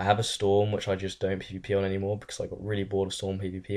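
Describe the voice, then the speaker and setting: A man with an English accent and a very deep, low pitch speaks against a quiet background. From England. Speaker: gaming youtuber. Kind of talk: casual Q&A chat. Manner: casual, filler-heavy.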